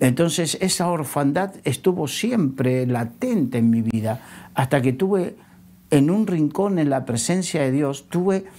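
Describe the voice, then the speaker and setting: Very slow and dark, mellow in tone, a man's voice carries lively intonation on a very clean recording with a silent background. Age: 60s. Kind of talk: religious talk-show conversation. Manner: halting, many filler sounds.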